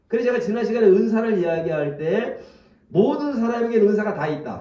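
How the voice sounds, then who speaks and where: A man speaks with a high-pitched voice. Audible room echo surrounds him. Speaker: pastor. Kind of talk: sermon. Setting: church. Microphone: speaking through a face mask, may sound muffled.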